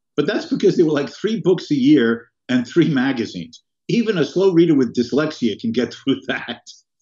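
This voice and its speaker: With a dark, mellow tone and a fairly high pitch, a man speaks at a moderate pace with very wide pitch swings and hardly any pauses over a quiet background. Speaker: economist and professor; professor. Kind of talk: interview. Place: home room. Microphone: webcam.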